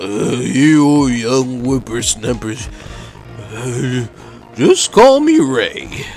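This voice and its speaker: Over clear background music, a man puts on a character voice at a medium pitch and speaks at a very slow pace. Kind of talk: teasing old-timer talk.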